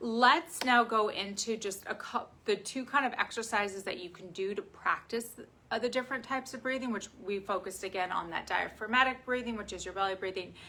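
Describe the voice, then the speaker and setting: A woman speaks at a fairly quick pace with a medium pitch and ordinary pitch variation. Her loudness swings widely. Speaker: physical therapist / health educator. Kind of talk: tutorial with guided breathing. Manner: fast.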